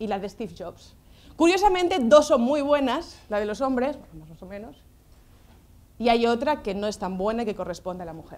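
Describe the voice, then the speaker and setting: A woman with a fairly high pitch speaks in an animated tone, with very wide pitch swings and big swings in loudness. She leaves long, frequent pauses, and audible room echo surrounds her voice. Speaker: social educator and lecturer. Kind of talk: lecture. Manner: fast.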